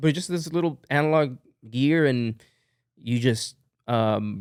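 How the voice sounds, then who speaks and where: At a moderate pace, a man talks with ordinary pitch variation on a very clean recording with a silent background. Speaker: musician and music producer. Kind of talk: casual interview chat. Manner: casual, many fillers.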